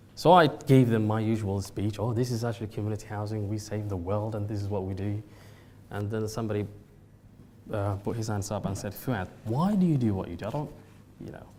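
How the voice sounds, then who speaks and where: At a fairly quick pace, a man speaks with a fairly low pitch, ordinary pitch variation, and a somewhat breathy, dark, mellow tone. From Somalia. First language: Somali. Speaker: social enterprise CEO. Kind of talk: talk to a seminar audience. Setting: venue with live audience.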